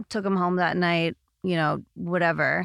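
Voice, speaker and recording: A woman speaks at a moderate pace with fairly low pitch and an unremarkable speaking voice. The recording is very clean, with a silent background and a dry, close sound with no echo. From Canada. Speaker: personal trainer. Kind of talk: casual interview.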